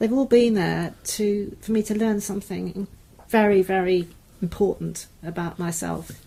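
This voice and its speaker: In a southern English accent, the voice is somewhat breathy and dark, mellow in tone, moving at a fairly slow pace with fairly even intonation. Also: woman, medium pitch for a woman. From southern England. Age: 60s. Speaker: university lecturer. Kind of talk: interview conversation.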